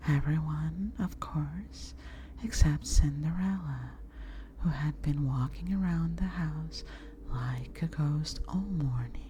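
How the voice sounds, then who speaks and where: The voice is soft-spoken. The words come at a very slow pace. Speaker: VTuber ASMR streamer. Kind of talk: bedtime story reading.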